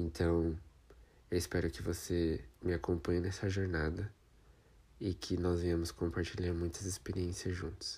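Pausing long and often, a man with a very deep, low pitch and a dark, mellow, somewhat breathy tone speaks at a fairly slow pace with fairly even intonation. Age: 20s. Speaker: podcaster and drag queen. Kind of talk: personal testimony monologue.

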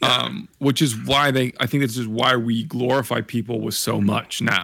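Moving at a moderate pace, a man's medium-pitched voice has a bright, sharp tone, vocal fry and ordinary pitch variation. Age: 20s. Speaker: podcast co-host. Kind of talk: casual chat. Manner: animated.

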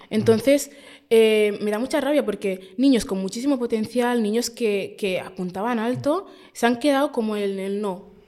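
Her voice is fairly high in pitch with a dark, mellow tone and ordinary pitch variation, and she is a woman. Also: moderate pace. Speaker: podcaster. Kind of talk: interview.

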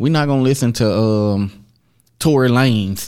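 A plain, everyday voice with fairly even intonation comes through on a very clean recording with a silent background. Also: man. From US, inner-city projects. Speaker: podcast co-host. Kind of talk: casual chat.

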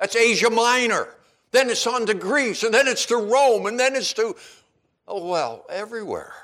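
A man with a Maritime Canadian accent speaks at a moderate pace in a high, bright, sharp voice with ordinary pitch variation. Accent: Canadian (Maritimes). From Eastern Canada (Charlottetown, Prince Edward Island). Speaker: preacher. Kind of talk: sermon. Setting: church.

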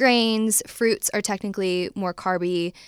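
With a US Midwestern accent, a woman talks at a medium pitch using fairly even intonation. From US Midwest, Ohio. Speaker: dietitian and nutrition business founder. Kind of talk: interview. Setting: studio.

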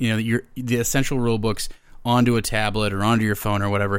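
Talking at a very fast pace, a man with an American accent comes through on a very clean recording with a silent background. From Minnesota. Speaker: actor and game writer. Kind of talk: casual chat.

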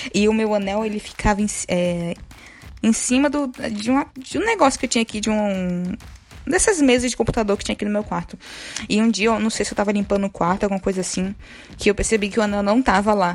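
Very fast speech from a woman at a fairly high pitch, with ordinary variation. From Bahia, Brazil. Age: 20s. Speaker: podcast co-host. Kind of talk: casual chat.

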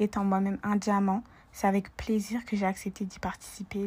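Somewhat breathy, a woman speaks at a fairly slow pace and a medium pitch. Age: 20s. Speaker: student and personal shopper business founder. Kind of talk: casual interview.

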